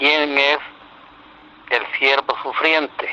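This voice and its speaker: Flat, monotone intonation over noticeable background noise. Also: man. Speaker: religious teacher. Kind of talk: religious teaching. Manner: slow.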